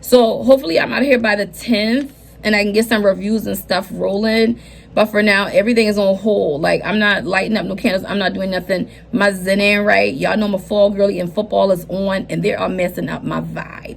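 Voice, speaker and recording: With an American accent, a woman speaks in an animated tone at a medium pitch and fairly quick pace over noticeable background noise. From US South, Charleston, South Carolina. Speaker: lifestyle vlogger. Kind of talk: casual vlog life update.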